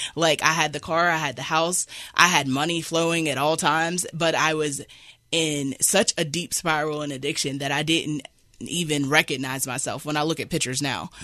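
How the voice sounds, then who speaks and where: Against a quiet background, a woman with an American accent speaks at a moderate pace in a very deep, low pitch, her tone bright and sharp and her intonation flat and monotone. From southern West Virginia. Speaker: shelter client in addiction recovery. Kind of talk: personal testimony. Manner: halting, many fillers.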